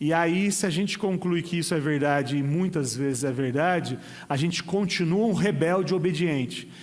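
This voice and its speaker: A man speaks at a moderate pace in a fairly high voice with ordinary pitch variation, and audible echo fills the room. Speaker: pastor. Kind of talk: sermon. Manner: casual, joking.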